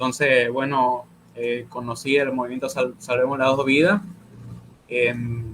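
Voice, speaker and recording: The man's pitch sits in the medium range. He talks fairly slowly. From Argentina until age 8, then Bolivia. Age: 20s. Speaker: law student and pro-life activist. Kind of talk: interview on a live stream. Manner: halting, many repeated words and fillers.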